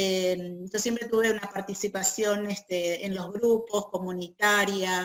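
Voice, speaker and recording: A woman's medium-pitched voice in a Buenos Aires accent, fairly slow and monotone, with flat intonation. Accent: Buenos Aires (porteño). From Argentina, Buenos Aires. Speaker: feminist peace activist and group facilitator. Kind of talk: interview.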